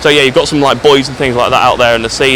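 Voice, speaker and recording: Quiet and medium-pitched, a man with an English accent speaks with fairly even intonation over noticeable background noise. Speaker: travel vlogger. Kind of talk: casual vlog walkthrough. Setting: outdoors on a beach.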